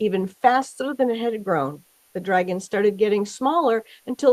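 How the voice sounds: Quiet surroundings, a natural reading voice, ordinary pitch variation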